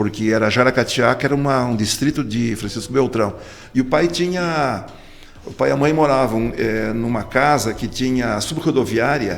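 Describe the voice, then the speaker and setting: Noticeable background noise sits behind a man of medium pitch who talks at a moderate pace with ordinary pitch variation. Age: 60s. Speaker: politician. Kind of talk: interview.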